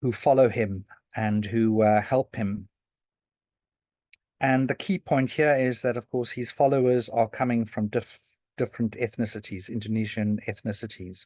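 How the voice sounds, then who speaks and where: The background is quiet. A man speaks at a medium pitch in a dark, mellow tone, with fairly even intonation. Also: moderate pace. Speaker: historian giving a talk. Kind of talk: lecture. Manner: halting, many fillers and restarts.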